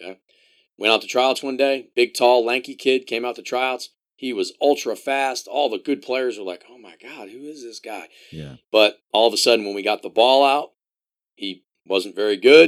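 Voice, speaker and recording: An unremarkable speaking voice from a man with an American accent, moving at a moderate pace with ordinary pitch variation. His loudness swings widely on a very clean recording with a silent background. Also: medium pitch for a man. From US, Columbia, Maryland. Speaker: college soccer coach. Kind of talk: casual interview.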